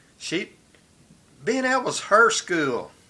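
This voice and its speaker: Raised and projected, a man's bright, sharp voice with an American accent moves through very wide pitch swings. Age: 70s. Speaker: vlogger. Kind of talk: personal monologue. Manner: reflective, conversational.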